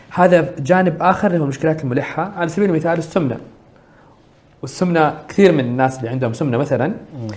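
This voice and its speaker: A man talks at a fairly quick pace and a fairly high pitch, with ordinary pitch variation. Room echo can be heard. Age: 30s. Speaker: social entrepreneur. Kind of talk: interview.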